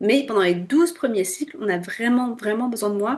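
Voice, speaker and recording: A woman speaks with a fairly high pitch. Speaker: fertility awareness instructor. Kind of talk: tutorial. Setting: screen-share video.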